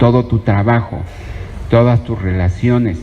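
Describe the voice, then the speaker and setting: Over noticeable background noise, a man with a medium pitch speaks at a fairly slow pace. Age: 60s. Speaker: preacher. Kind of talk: sermon.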